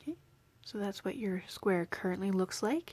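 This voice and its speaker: A woman speaks in an ordinary speaking voice at a moderate pace. Her pitch is medium, with ordinary pitch variation. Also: dry, close sound with no echo. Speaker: crochet teacher. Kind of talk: tutorial.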